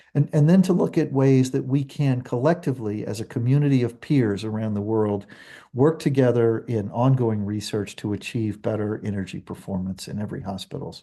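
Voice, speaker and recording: Against a quiet background, a man speaks at a fairly quick pace with a medium pitch. His dark, mellow tone carries ordinary pitch variation. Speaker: webinar host, association president. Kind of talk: webinar moderation. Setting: video call.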